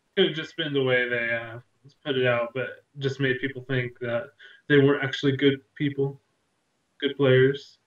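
A man speaks at a moderate pace, with long, frequent pauses. His intonation is flat and monotone, and the room echo is audible. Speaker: gaming show co-host. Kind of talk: casual chat. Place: home room. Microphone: video call.

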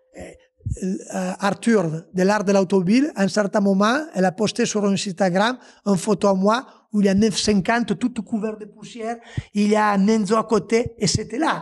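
A man with an Italian accent talks at a high pitch in an animated tone with ordinary pitch variation. The background is quiet. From Italy. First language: Italian (speaking French). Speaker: former rally driver and car dealer. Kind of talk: casual podcast interview storytelling. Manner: animated, with hesitations and restarts. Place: garage. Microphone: handheld.

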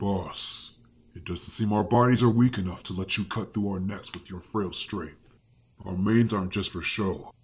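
A man puts on a character voice, very deep and low in pitch, moving at a moderate pace. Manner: calm, resolute.

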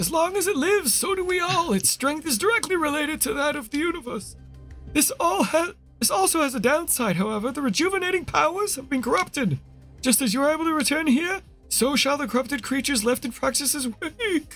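In a put-on character voice pitched extremely high, a man talks at a fairly quick pace while faint music plays in the background. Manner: solemn, grand.

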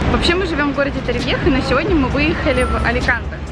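Over music in the background, a woman speaks at a very fast pace in a dry sound with no echo. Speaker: vlogger. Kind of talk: casual vlog chat. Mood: cheerful, joking. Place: street. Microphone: phone near.

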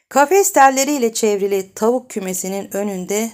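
At a moderate pace, a woman speaks in an ordinary speaking voice on a very clean recording with a silent background. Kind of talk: audiobook reading of a novel, read aloud. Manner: expressive narrator, voicing the dialogue of different characters.

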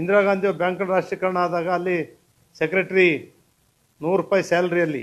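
This man has a high-pitched voice. His intonation stays monotone and flat. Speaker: politician. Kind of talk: political statement to press. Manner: emphatic.

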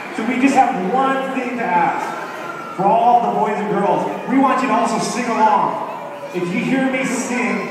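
Amid strong room echo and noticeable background noise, a man speaks fairly slowly with ordinary pitch variation. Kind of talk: stage banter to audience. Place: hall. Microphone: pa.

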